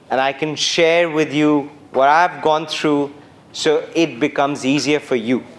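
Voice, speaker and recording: Over noticeable background noise, a man with a Bengali accent speaks at a moderate pace in a flat monotone with a fairly high pitch. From India, Calcutta. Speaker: former journalist, keynote speaker. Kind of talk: keynote speech. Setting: university auditorium with audience.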